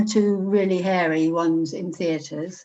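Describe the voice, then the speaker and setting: Speaking with an English accent, a woman has a medium pitch and ordinary pitch variation. Her pace is moderate. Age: 70s. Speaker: retired operating theatre nurse. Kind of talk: interview testimony.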